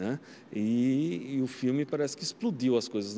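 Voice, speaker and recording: A man with a dark, mellow tone speaks with ordinary pitch variation over light background noise. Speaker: film professor; university professor. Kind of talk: interview. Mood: nostalgic, enthusiastic. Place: studio. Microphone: handheld.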